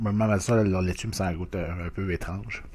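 This man has a very deep, low pitch and a Quebec accent. His intonation stays fairly even. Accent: Québécois French. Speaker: food review YouTuber. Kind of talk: casual food review monologue. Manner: hesitant, many fillers. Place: home room. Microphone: webcam.

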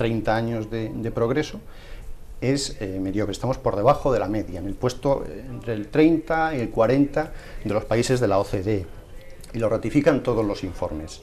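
A man at a moderate pace, ordinary pitch variation, light background noise. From Spain, Puertollano; Spain. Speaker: education magazine editor; panelist. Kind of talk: televised debate. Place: studio. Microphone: lapel.

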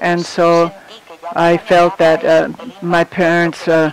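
Over noticeable background noise, a man talks in a high pitch with monotone, flat intonation. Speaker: conference interpreter. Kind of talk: simultaneous interpretation of a conference talk. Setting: conference hall with audience. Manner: halting.

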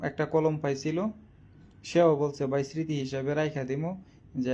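A fairly high-pitched male voice with a dark, mellow tone and ordinary pitch variation. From Bangladesh, Kishoreganj district. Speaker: social media quiz host. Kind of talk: casual live stream talk. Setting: live video stream. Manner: halting.

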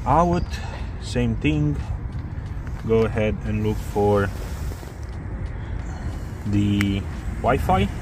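Noticeable background noise sits behind a man's dry, echo-free voice. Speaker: drone reviewer. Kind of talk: tutorial. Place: street. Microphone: phone near.

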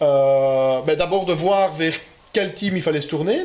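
Fairly high male voice, its pitch rising and falling in an ordinary way. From Belgium. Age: 20s. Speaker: rally driver. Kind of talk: interview. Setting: car dealership building. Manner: halting. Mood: relaxed, friendly.

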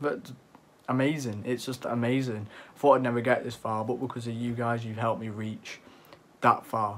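In a monotone, flat intonation, a man speaks at a moderate pace. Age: young. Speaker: youtuber. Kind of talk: casual vlog talk. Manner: halting. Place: home room. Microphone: phone near.

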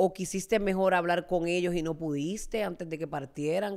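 At a moderate pace, a woman with a fairly low pitch speaks in an animated tone with ordinary pitch variation and a quiet background. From Puerto Rico, Fajardo; Puerto Rico. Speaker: talk show host. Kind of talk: interview. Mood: warm, empathetic. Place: studio. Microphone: studio mic.

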